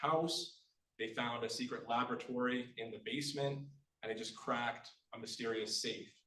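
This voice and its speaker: A man with a Manitoba accent talks at a moderate pace and a medium pitch, with audible room echo. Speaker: author. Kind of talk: book launch reading and talk.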